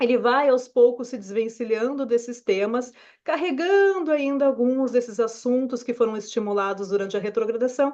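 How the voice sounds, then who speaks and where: Against a quiet background, the speaker uses lively intonation in a Brazilian accent. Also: woman. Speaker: astrologer. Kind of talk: weekly forecast video talk. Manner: conversational.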